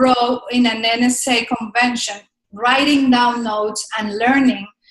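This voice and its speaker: A woman with a slight Spanish accent speaks at a high pitch with fairly even intonation. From Colombia. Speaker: speaker coach. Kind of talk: interview.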